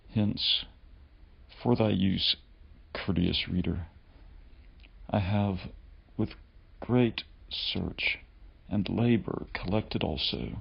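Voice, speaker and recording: Soft-spoken with vocal fry, the voice has lively intonation and very even loudness. It moves at a very slow pace with long, frequent pauses. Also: man, fairly low pitch for a man. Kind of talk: ASMR reading of a historical text.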